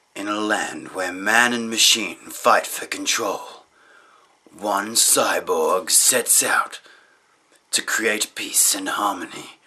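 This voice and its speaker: Using a put-on character voice, a man speaks at a very slow pace with long, frequent pauses. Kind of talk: casual vlog chat, mock movie-trailer voice. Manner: dramatic voiceover. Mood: playful, tired late night.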